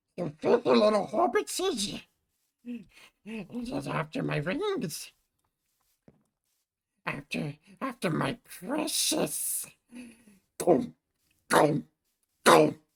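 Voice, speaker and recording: In a put-on character voice, fairly high and raspy, the words come at a very slow pace with a hissing sound. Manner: creepy, agitated.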